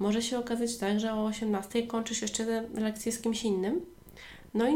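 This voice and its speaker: A normal speaking voice from a woman, fairly high-pitched, at a moderate pace. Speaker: online language tutor and podcast host. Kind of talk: solo educational podcast monologue.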